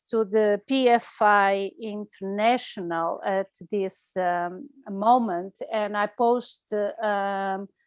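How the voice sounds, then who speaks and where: A woman talks very slowly in a Portuguese accent, her pitch medium. Her pitch varies in an ordinary way. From Portugal. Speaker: environmental campaigner. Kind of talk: online talk. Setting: video call. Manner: halting.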